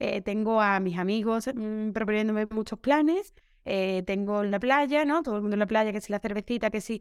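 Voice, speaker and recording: In a very clean recording with a silent background, a woman uses an ordinary speaking voice, fairly high in pitch, at a fairly quick pace with ordinary pitch variation. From Seville, Andalusia, Spain. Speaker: primary school teacher. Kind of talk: casual interview chat.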